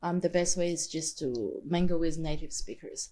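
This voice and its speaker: A woman speaks with an Australian accent at a moderate pace. Her tone is dark and mellow, her pitch fairly low. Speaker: multilingual language learner. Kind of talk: casual chat.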